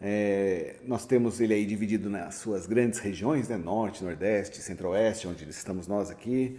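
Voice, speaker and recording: In a room with audible echo, a man with a fairly low pitch and a dark, mellow tone speaks with hardly any pauses and ordinary pitch variation. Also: moderate pace. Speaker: university professor. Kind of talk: lecture. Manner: halting, with fillers; casual, joking.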